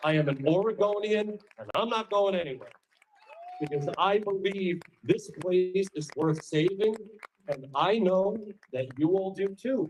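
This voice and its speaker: Speaking with a New York accent, a man talks at a fairly slow pace in a high pitch with ordinary pitch variation and long, frequent pauses. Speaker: political speaker. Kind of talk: campaign speech. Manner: animated.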